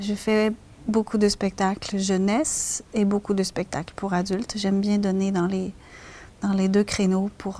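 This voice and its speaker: A woman speaks at a medium pitch and a fairly slow pace. Her intonation is monotone and flat. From Quebec, Canada. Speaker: storyteller. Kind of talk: interview answer.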